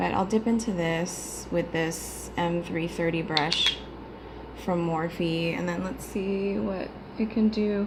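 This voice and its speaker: A woman speaks quietly and very slowly at a fairly low pitch, with ordinary pitch variation. Room echo is audible, and there is noticeable background noise. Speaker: beauty vlogger. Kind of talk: tutorial. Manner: casual.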